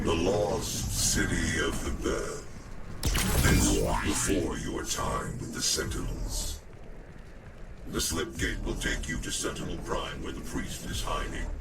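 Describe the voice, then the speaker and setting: A man performs a put-on character voice at a fairly slow pace. Loud background noise runs underneath. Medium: game stream. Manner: measured, explanatory.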